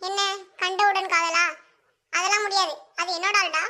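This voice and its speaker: A woman's cartoonish character voice, extremely high in pitch yet monotone and flat. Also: moderate pace. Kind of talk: comic overacting. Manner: playful, comic overacting.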